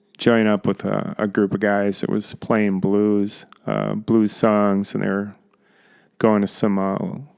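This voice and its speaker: The recording is very clean with a silent background. A man speaks fairly slowly at a fairly low pitch, his intonation monotone and flat. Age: 60s. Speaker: retired bus driver, hobby guitar vlogger. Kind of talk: casual vlog monologue. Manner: halting, many fillers and repeats.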